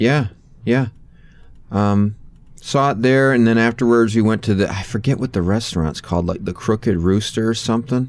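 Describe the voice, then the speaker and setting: A plain, everyday voice moves with ordinary pitch variation and keeps to a moderate pace. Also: man, medium pitch for a man. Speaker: podcast host. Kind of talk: casual chat. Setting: video call.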